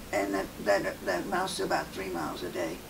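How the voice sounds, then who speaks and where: There is noticeable background noise. A woman speaks over it at a fairly quick pace. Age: 80s+. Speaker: patient. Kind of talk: patient testimonial. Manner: casual, slightly hesitant. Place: office.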